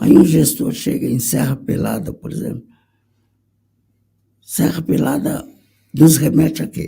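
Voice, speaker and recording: A man at a fairly slow pace, with big swings in loudness and long, frequent pauses. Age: 60s. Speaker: conductor. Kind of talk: panel discussion.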